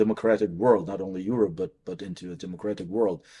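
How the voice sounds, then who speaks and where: This man's voice has a dark, mellow tone and fairly low pitch. His pitch varies in an ordinary way. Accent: Ukrainian. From Ukraine. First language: Ukrainian. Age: 40s. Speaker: priest and professor. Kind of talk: interview. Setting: on campus. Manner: halting.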